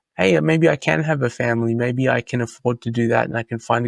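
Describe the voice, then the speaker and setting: A man with an Australian accent talks at a fairly quick pace with medium pitch, in a dry, close sound with no echo. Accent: Australian, kept after 25 years in US. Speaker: Bitcoin author and commentator. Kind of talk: podcast interview.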